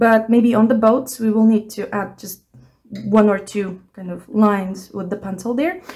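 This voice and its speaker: A woman's fairly high, somewhat breathy voice with a dark, mellow tone, a non-native accent, ordinary pitch variation and a moderate pace. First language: not English. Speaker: art tutor. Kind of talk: tutorial. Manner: casual, hesitant.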